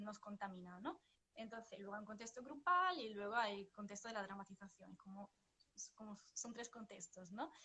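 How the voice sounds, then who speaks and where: A woman with a bright, sharp tone and medium pitch speaks at a moderate pace with ordinary pitch variation. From northern Italy, Vicenza. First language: Italian (speaking Spanish). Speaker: psychotherapist and flamenco dancer. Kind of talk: interview. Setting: livestream. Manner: hesitant, many fillers.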